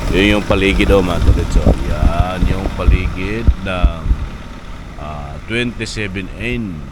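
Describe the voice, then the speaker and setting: A man speaks very slowly at a very deep, low pitch, with very wide pitch swings and big swings in loudness. Noticeable background noise and audible room echo fill the recording. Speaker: travel vlogger. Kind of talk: casual vlog narration. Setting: outdoors by highway.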